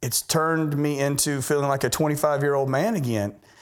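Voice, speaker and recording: With ordinary pitch variation and a fairly quick pace, a man with a fairly high pitch uses an ordinary speaking voice. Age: 50s. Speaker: patient. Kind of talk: testimony.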